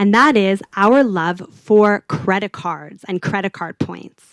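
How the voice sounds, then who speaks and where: Recorded with a dry, close sound and no echo, the speaker talks with a Southern California accent. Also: woman. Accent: American, LA Valley Girl, slightly tamed. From US, California (Los Angeles). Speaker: UX designer. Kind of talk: conference talk. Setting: stage with audience. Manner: casual, conversational.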